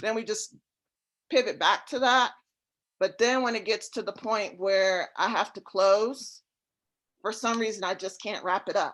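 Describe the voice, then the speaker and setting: At a fairly high pitch, a woman speaks at a fairly slow pace with long, frequent pauses. Her intonation is fairly even, on a very clean recording with a silent background. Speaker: real estate investor. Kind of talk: casual chat. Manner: laid-back.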